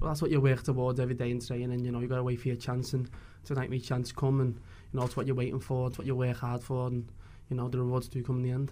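In a Liverpool accent, a man talks very fast at a medium pitch, flat and monotone, with a dark, mellow tone. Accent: Scouse. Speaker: footballer. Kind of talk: post-match interview.

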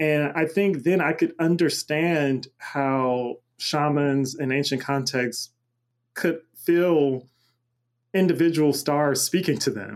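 A man with an American accent and fairly high pitch at a very slow pace, on a very clean recording with a silent background. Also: ordinary pitch variation. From US South, Macon, Georgia. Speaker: cosmologist and multimedia artist. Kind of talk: interview conversation.

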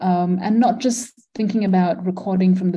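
Speaking at a fairly slow pace, a woman with a medium pitch and a dark, mellow tone sounds somewhat breathy, her pitch varying in an ordinary way. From Malaysia. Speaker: environmental philosopher and architect. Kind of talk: interview. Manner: halting, many fillers.

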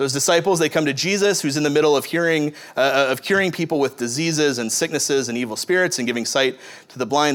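This man's pitch sits fairly high, with ordinary variation and a moderate pace. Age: 30s. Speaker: pastor. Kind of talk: sermon. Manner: halting.

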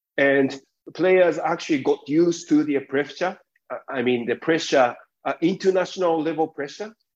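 A man with a Japanese accent speaks at a moderate pace in a fairly high pitch, with ordinary pitch variation and long, frequent pauses. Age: 40s. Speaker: sports executive. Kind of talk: interview.

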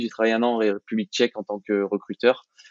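Medium in pitch, a man's voice holds a monotone, flat intonation. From France, Clermont-Ferrand. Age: 20s. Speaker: business school graduate. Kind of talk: interview.

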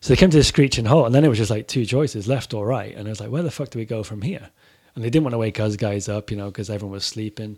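An American-accented man talks at a very fast pace. His loudness swings widely. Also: medium pitch for a man, ordinary pitch variation, very clean recording, silent background. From Corby, England. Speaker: author and former touring metal musician. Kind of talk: casual podcast chat. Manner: casual, swearing.

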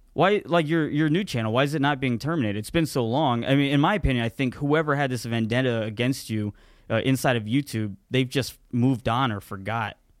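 A man with a normal speaking voice talks at a fairly quick pace with hardly any pauses. His medium pitch shows ordinary pitch variation, in a very clean recording with a silent background. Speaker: podcast co-host and YouTuber. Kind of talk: casual banter podcast. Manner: casual, rambling, profane.

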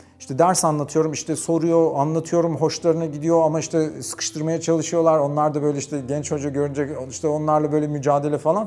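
A man rushes along at a very fast pace with hardly any pauses, using a fairly high pitch and monotone, flat intonation over noticeable background noise. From Turkey, Bursa (Karacabey). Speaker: economics professor. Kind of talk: interview storytelling.

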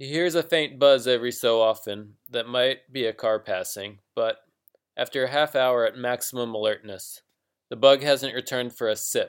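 A man with a plain, everyday voice and an American accent talks at a moderate pace and medium pitch, with fairly even intonation, in a very clean recording with a silent background. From US. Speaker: fiction writer, podcast host. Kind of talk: reading aloud; casual podcast intro.

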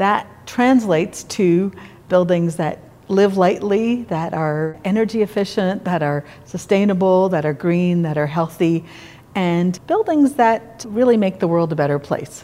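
With a Canadian accent, a woman in a plain, everyday voice speaks at a fairly slow pace, at a medium pitch with ordinary pitch variation. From Quebec, Montreal. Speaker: architect. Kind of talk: interview.

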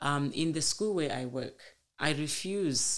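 This is a woman speaking. She has a Zimbabwean accent. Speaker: teacher and community organiser. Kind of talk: personal story interview.

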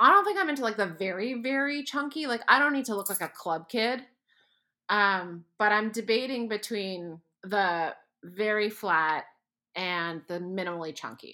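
A woman speaks at a moderate pace with a fairly high pitch and a bright, sharp tone. The recording is very clean, the background silent. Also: lively intonation. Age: 50s. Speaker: podcast co-host. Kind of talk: casual chat.

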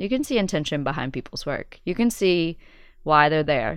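A woman with a very deep, low voice is heard in a very clean recording with a silent background. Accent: American. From West Virginia (Logan). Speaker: documentary filmmaker. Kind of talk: interview. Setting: studio.

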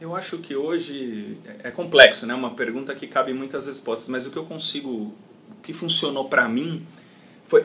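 Noticeable background noise behind a man's fairly high voice. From Brazil, São Paulo city. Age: 30s. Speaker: call center company CEO. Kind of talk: interview. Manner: halting, many repetitions.

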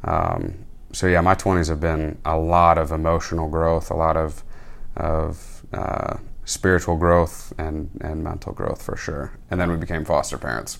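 A man with an American accent speaks in a very deep, low pitch and a monotone, flat intonation. Audible room echo surrounds his voice. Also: fairly slow pace. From Michigan. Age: 20s. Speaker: military chaplain's assistant. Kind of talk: casual interview. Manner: hesitant, many fillers.

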